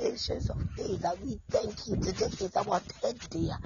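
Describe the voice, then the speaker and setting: A man speaks with noticeable background noise. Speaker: prayer leader. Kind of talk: open prayer. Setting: online church program.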